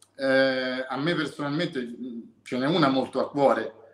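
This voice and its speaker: Audible room echo follows a man who speaks at a fairly slow pace. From Italy. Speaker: group member asking questions. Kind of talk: casual chat. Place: home room. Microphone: video call.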